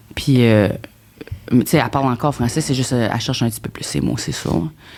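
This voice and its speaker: A woman talks at a very fast pace in a very deep, low voice with lively intonation. Noticeable background noise runs underneath. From New Brunswick, Acadian. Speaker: comedian, reality TV contestant. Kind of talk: podcast interview. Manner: halting.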